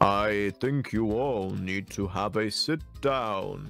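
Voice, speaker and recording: Over clear music in the background, a man uses a put-on character voice at a fairly low pitch, speaking at a very slow pace. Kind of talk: proper, genteel English phrasing. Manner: polite, gentle, concerned.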